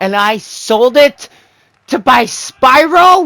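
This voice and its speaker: A man raises and projects his voice in a dry, close recording with no echo. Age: 20s. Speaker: gaming YouTuber. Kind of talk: casual commentary over gameplay. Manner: rambling, self-correcting.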